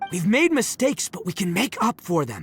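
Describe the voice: Over faint music in the background, a man does a put-on character voice with a husky, rough edge, a high pitch, very wide pitch swings and a moderate pace.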